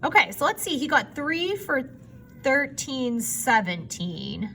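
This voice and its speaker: In a high, raised and projected voice with a bright, sharp tone, a woman speaks at a very slow pace with very wide pitch swings. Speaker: math teacher. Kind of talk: recorded lesson for students.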